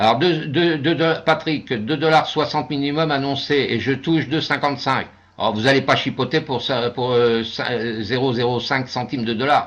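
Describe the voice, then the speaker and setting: Speaking at a moderate pace with hardly any pauses, a man keeps a fairly high pitch and fairly even intonation. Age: 60s. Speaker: investment scheme presenter. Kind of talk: webinar presentation with Q&A. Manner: hesitant, many fillers.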